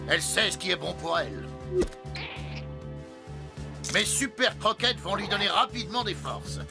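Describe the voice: A man in a cartoonish character voice speaks at a moderate pace, high in pitch, with a bright, sharp tone, lively intonation and vocal fry, over faint music in the background.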